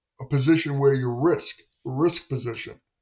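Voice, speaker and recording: Somewhat breathy, a man with a fairly high voice speaks with ordinary pitch variation. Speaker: day trader streamer. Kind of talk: live trading commentary; casual advice talk. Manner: halting, many fillers.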